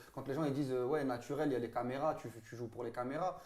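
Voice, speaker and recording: The man's voice sits at a fairly high pitch. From France, Saint-Denis (Paris suburbs). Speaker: football pundit. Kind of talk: casual chat. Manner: loud; animated.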